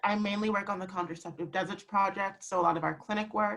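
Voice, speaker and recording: A woman speaks at a very fast pace with a medium pitch. Her intonation is monotone and flat. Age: young. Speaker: digital programs fellow.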